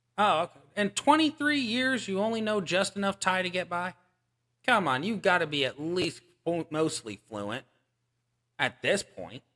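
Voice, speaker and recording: A man's raised, projected voice, high in pitch, with very wide pitch swings, an animated, bright, sharp tone and a moderate pace. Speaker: gaming streamer. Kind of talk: live stream chat while gaming. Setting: live stream. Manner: casual, animated.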